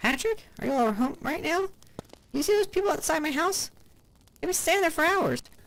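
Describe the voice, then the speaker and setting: A put-on character voice, squeaky and extremely high in pitch, at a fairly quick pace. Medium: read story. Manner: chatty, exaggerating.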